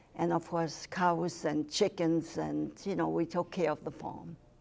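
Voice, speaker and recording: On a very clean recording with a silent background, a woman speaks in a fairly low pitch with a dark, mellow tone. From Germany, East Prussia. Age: 80s+. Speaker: Holocaust survivor. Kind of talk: testimony.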